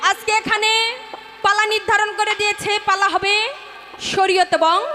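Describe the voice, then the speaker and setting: Raised and projected, a woman's extremely high voice stays monotone and flat at very even loudness. Noticeable background noise sits behind her. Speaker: folk singer. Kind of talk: stage address to a live audience.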